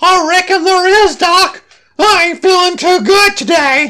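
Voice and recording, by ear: At an extremely high pitch, someone performs a put-on character voice. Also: fairly slow pace.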